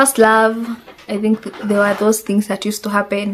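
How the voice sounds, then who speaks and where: A fairly high-pitched woman with a Kenyan accent and flat, monotone intonation. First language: Swahili. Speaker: vlogger. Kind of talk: casual chat.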